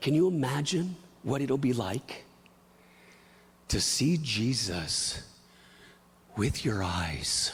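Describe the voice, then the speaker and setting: Very slowly and with long, frequent pauses, a man speaks at a fairly high pitch with vocal fry, very wide pitch swings, very even loudness and audible room echo. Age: 40s. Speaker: pastor. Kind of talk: sermon. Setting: church. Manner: animated.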